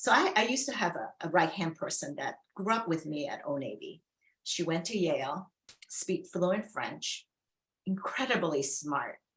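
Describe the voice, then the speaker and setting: This woman has a Chinese accent and a fairly low pitch. Her voice swings very widely in pitch. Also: moderate pace. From China, immigrant to US. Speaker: former retail executive. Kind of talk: fireside chat interview.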